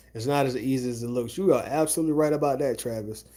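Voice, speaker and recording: A man's fairly high, dark, mellow voice with an American accent at a very fast pace, on a very clean recording with a silent background. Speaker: real estate wholesaler, YouTuber. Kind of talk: live stream chat, reading comments. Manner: casual, rambling.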